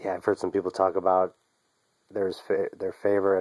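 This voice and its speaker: The voice belongs to a man. His sound is close and dry, without any echo. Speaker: comic book collector YouTuber. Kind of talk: casual show-and-tell vlog. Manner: halting, stumbling.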